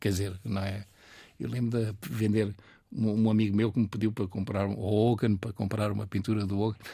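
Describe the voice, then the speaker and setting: A man's dark, mellow tone with a fairly low pitch at a fairly quick pace. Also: very clean recording, silent background. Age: 80s+. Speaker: painter and art school founder. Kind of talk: interview. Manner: halting.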